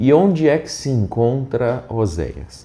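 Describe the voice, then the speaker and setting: A soft-spoken man talks at a very slow pace with lively intonation. His tone is dark and mellow. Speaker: pastor. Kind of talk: Bible reading with commentary. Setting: unusual location, not the usual studio.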